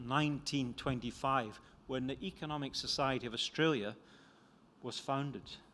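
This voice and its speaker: In a Scottish accent, a man speaks at a medium pitch with a bright, sharp tone and fairly even intonation, on a very clean recording with a silent background. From Scotland. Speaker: economist and author. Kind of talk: talk.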